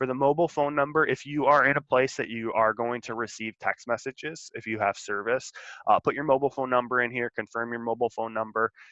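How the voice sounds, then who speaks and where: At a very fast pace with hardly any pauses, a man talks at medium pitch with fairly even intonation. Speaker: school college and career counselor. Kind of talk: tutorial. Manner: casual with filler words.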